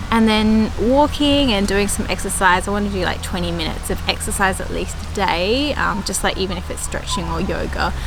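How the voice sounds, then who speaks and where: A woman with an Australian accent talks at a fairly quick pace. There is audible room echo and noticeable background noise. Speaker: gardening vlogger. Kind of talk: casual vlog chat. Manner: runs words together, poor diction; hesitant, many fillers.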